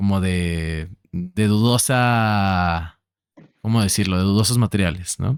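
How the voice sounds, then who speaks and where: A man with a central Mexican accent speaks very slowly in a fairly low pitch, with very even loudness and ordinary pitch variation, the sound dry and close with no echo. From Mexico City. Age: 20s. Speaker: podcast host. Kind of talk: casual conversation.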